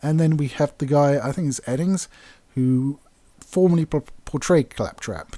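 With an English accent, a man speaks slowly-ish at a fairly slow pace, his fairly high pitch carrying a dark, mellow tone and ordinary pitch variation on a very clean recording with a silent background. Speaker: gaming YouTuber. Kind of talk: commentary rant. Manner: casual, hesitant fillers.

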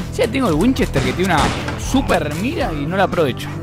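A man speaks at a moderate speed. Clear music can be heard behind him. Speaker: indie game developer. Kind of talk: casual video game commentary. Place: home room. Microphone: studio mic.

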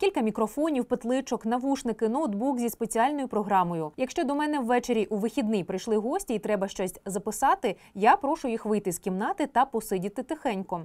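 A woman's normal speaking voice, fairly high and lively, at a fairly quick pace with hardly any pauses, dry and close with no echo, on a very clean recording with a silent background. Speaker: announcer for city metro. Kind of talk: interview answer.

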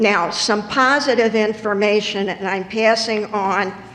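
Noticeable background noise behind a woman's fairly high-pitched voice, very slow in pace, with fairly even intonation. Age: 70s. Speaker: public commenter at school board meeting. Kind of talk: public comment.

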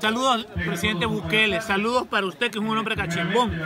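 A man's raised, projected voice, high for a man, with ordinary pitch variation, a fairly quick pace and noticeable background noise. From El Salvador, San Miguel; El Salvador. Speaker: food vlogger. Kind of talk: casual vlog. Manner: animated. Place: open country. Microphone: phone near.

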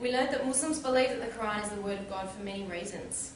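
A woman talks at a very fast pace with ordinary pitch variation. The recording has audible room echo and noticeable background noise. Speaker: convert speaker. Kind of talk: public talk, testimony. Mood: calm, sincere. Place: hall. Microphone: camera far.

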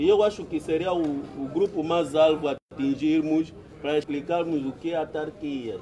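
A man with an Angolan accent speaks at a moderate pace in a fairly high pitch. His intonation is fairly even, with light background noise behind him. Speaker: community debate participant. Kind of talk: community debate. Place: open country. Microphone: phone near.

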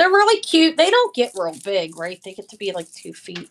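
The woman talks at a fairly quick pace. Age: 50s. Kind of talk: live-stream sales show. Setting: live video stream. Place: home room. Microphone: phone near.

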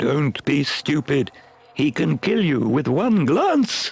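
A put-on character voice at a low-to-middle pitch moves along at a very slow pace. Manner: screeching, scolding.

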